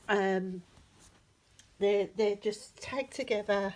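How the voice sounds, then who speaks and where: With an English accent, a woman speaks at a very slow pace in a fairly high pitch. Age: 60s. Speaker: crafter / DIY vlogger. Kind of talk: tutorial. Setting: at home, lounge floor. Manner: casual, hesitant with fillers.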